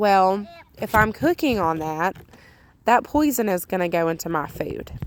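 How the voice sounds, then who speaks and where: A woman with a Southern US accent, medium in pitch, with lively intonation. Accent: southern drawl. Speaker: homemaking vlogger. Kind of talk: voice-over narration of cleaning video. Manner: casual, many fillers.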